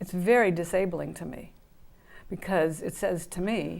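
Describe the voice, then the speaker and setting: Vocal fry in a woman's voice, pitch varying in an ordinary way. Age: 60s. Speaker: guest sharing mental illness recovery. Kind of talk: interview testimony. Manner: halting.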